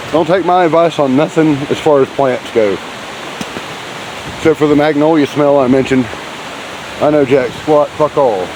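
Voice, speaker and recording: With a Southern US accent, the speaker goes at a moderate pace, taking long, frequent pauses amid noticeable background noise. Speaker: hiking vlogger. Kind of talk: casual trail vlog narration. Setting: outdoors on a hiking trail. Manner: speaking a little loudly.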